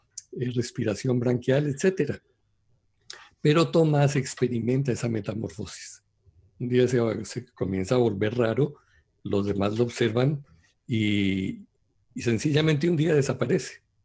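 Somewhat breathy speech in a dark, mellow tone, with ordinary pitch variation, at a fairly slow pace with long, frequent pauses, against a quiet background. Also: man, medium pitch for a man. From Colombia. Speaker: translator and former pastor, Torah teacher. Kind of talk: religious discussion on radio show.

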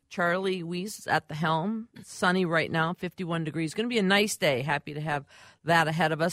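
Her voice is very deep and low for a woman, with an animated tone at a fairly quick pace. The sound is dry and close, with no echo. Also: very clean recording, silent background. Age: 60s. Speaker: radio host. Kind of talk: talk radio hosting. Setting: radio studio.

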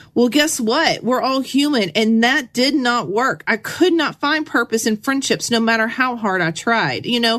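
Her pitch high and her intonation lively, a woman talks at a moderate pace with very even loudness and hardly any pauses. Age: 40s. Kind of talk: devotional teaching monologue. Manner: casual, conversational with filler words.

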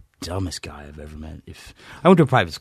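With an American accent, a man talks at a moderate pace in a somewhat breathy voice. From US East Coast (Virginia area). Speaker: army veteran. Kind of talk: interview testimony. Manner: halting, many fillers.

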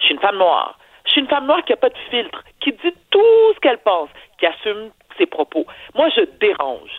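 A woman's high-pitched, fairly quick speech with very wide pitch swings. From Quebec. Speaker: TV personality, columnist. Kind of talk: opinion commentary. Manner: animated.

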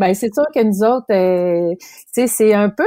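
A woman with a Quebec accent speaks at a fairly slow pace in a fairly high pitch and a dark, mellow tone, with ordinary pitch variation and a dry, close sound with no echo. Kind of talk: casual chat.

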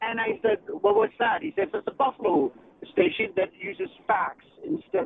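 A man talks at a moderate pace in a high pitch, with very wide pitch swings. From Ontario, Canada. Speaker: caller. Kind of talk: casual chat. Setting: phone call.

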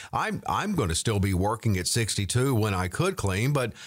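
A man at a moderate pace, very wide pitch swings, in a very clean recording with a silent background. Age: 60s. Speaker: radio co-host and announcer. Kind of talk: radio talk show, financial advice. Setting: studio.

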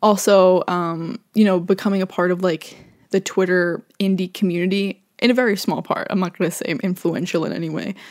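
Spoken in an American accent at a fairly quick pace with hardly any pauses, the voice keeps a fairly even intonation on a very clean recording with a silent background. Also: woman, medium pitch for a woman. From Long Island, New York. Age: 20s. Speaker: podcast host, college radio DJ. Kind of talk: casual solo podcast monologue. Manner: fast, rambling with many fillers.

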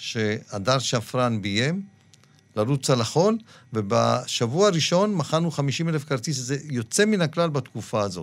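A man speaks at a moderate pace with a fairly high pitch. His pitch swings very widely, on a very clean recording with a silent background. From Israel, Dimona (born Morocco). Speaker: film producer. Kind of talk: interview. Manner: animated.

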